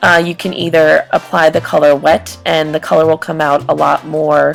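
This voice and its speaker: Music runs in the background. A woman talks with a very deep, low pitch. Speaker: beauty vlogger. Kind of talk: makeup tutorial voiceover. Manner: casual, hesitant.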